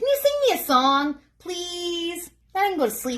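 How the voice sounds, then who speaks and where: A woman's squeaky, put-on character voice at an extremely high pitch, fairly slow, with very wide pitch swings. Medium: read story. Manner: polite, wheedling.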